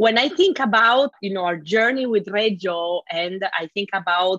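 A woman with an Italian accent at a moderate pace, in a dry, close sound with no echo. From Italy. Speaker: school founder and director. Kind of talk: interview.

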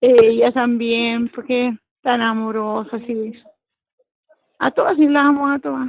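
Speaking at a fairly slow pace with long, frequent pauses, a woman with a Chilean accent and a fairly high pitch shows ordinary pitch variation and big swings in loudness. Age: old. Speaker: church member. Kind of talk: casual chat.

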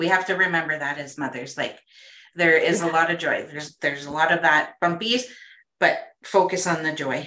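A woman's fairly low voice with a bright, sharp tone, a moderate pace and ordinary pitch variation. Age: 40s. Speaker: holistic nutritionist. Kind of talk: casual interview chat.

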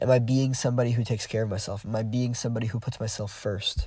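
A man speaks very fast at a medium pitch, his dark, mellow tone somewhat breathy, with ordinary pitch variation. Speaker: podcast host. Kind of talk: solo reflective monologue. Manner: halting, many fillers.

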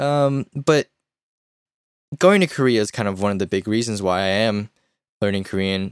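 A man speaks at a moderate pace with long, frequent pauses. His pitch is fairly low, with ordinary variation. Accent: American. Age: 20s. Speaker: podcast co-host. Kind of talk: casual chat. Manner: casual, hesitant with fillers.

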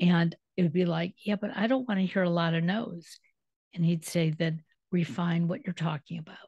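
A woman with an American accent speaks at a moderate pace in a fairly low, somewhat breathy voice with ordinary pitch variation. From Detroit, US Midwest. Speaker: radio podcast host. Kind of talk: casual interview chat.

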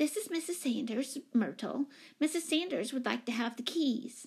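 A woman puts on a squeaky, high-pitched character voice with lively intonation. It carries vocal fry and a slightly husky edge. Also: moderate pace.

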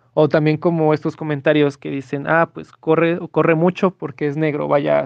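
Hardly any pauses break this man's speech. His pitch is fairly high and his intonation monotone and flat. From Mexico. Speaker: sports enthusiast and researcher of racism. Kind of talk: interview testimony. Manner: hesitant, many fillers.

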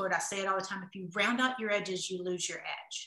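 A woman talks at a very fast pace with a Southern US accent. Her pitch is medium and her tone is bright and sharp. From US South. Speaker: author and entrepreneur. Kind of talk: casual interview. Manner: animated.

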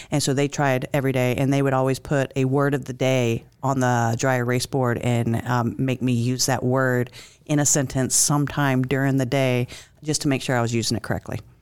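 A woman's very deep, low voice, fairly quick, with monotone, flat intonation and very even loudness. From Alabama, military family (moved often). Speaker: military executive secretary. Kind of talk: interview.

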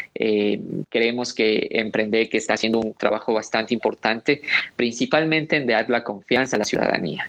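With very even loudness, a man speaks at a medium pitch and moderate pace with ordinary pitch variation, noticeable background noise behind him. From Loja, Ecuador. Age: young. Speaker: social entrepreneur. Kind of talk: radio interview.

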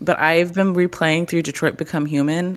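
A woman with an American accent speaks in a very deep, low pitch with fairly even intonation, on a very clean recording with a silent background. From Texas. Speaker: gaming content creator. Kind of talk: casual chat.

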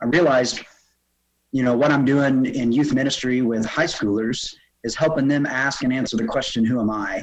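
A man speaks at a fairly quick pace in an ordinary speaking voice. His pitch is medium, with ordinary pitch variation. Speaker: theology professor. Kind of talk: casual chat.

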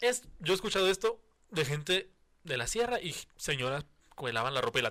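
The voice is bright and sharp, with very wide pitch swings. It moves at a fairly quick pace, broken by long, frequent pauses. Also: man, high pitch for a man. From Mexico. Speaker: podcast host. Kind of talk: casual chat.

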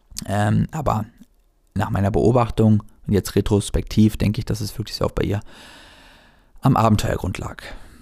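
A man's moderate-paced speech is broken up by long, frequent pauses. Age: 20s. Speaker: life coach and podcast host. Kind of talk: solo podcast monologue. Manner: casual, with many filler words.

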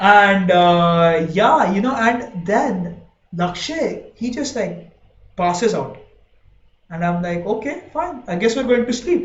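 Delivered at a fairly slow pace, this voice has lively intonation and an animated tone. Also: man. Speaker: podcast host. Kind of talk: casual chat.

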